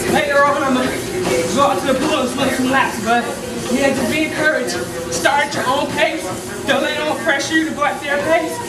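Loud noise fills the background. A woman speaks at a fairly quick pace. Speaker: weight loss vlogger. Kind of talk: casual vlog chat. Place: gym. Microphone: camera far.

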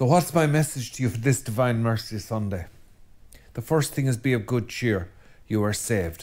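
Speaking at a moderate pace, a man with an Irish accent uses lively intonation. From Ireland. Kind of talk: religious talk to camera. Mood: calm, earnest. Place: studio.

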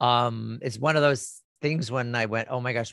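A man at a moderate pace, ordinary pitch variation, dry sound with no echo, quiet background. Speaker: radio show host. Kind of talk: radio show intro and interview. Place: office. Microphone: studio mic.

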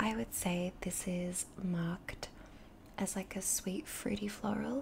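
Pitch varies in an ordinary way. Noticeable background noise runs underneath. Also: woman. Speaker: beauty vlogger. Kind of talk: casual vlog chat. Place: home room. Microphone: studio mic.

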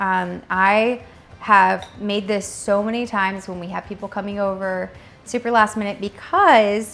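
A woman talks with faint music in the background. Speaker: home cook host. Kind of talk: cooking tutorial. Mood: warm, cheerful. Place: kitchen.

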